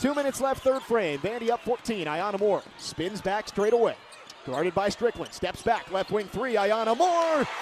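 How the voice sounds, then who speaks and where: A man speaks at a moderate pace in a high voice, with an energetic, excited tone and lively intonation. Noticeable background noise runs under him. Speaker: sports play-by-play broadcaster. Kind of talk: sports play-by-play commentary.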